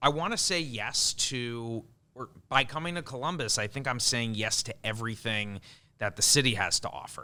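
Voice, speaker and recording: A man with a Long Island accent speaks at a moderate pace, his medium pitch moving with ordinary variation. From Long Island, New York. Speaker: event organizer. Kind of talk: podcast interview.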